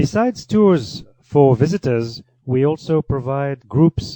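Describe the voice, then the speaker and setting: A man with a French accent speaks in a fairly high pitch, his tone dark and mellow. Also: dry, close sound with no echo. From France (Paris). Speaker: cheese and wine tour guide. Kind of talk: radio interview. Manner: halting, many fillers and repetitions.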